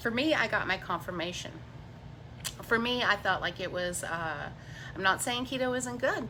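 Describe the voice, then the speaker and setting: A woman talks at a moderate pace with a fairly high pitch. Her tone is animated, with very wide pitch swings. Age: 50s. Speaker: keto diet YouTuber. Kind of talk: livestream chat. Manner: rambling, animated.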